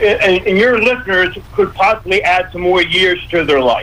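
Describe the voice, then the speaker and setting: With noticeable background noise behind him, a man speaks at a high pitch and moderate pace with ordinary pitch variation. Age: 70s. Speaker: health advocate, radio guest. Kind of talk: radio interview. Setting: radio show.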